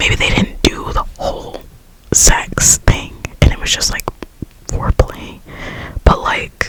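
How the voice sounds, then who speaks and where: A woman whispers at a fairly slow pace with long, frequent pauses over noticeable background noise. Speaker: ASMR creator. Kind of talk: casual whispered ramble about a reality show. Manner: whispered, chatty.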